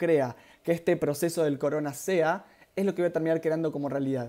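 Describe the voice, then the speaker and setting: The speaker has a Rioplatense accent. The pace is fairly quick. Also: man. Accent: Argentine Rioplatense Spanish. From Argentina. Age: 30s. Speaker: spiritual workshop leader, therapist. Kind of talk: live-streamed workshop talk. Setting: live stream, two cameras. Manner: fast; hesitant fillers.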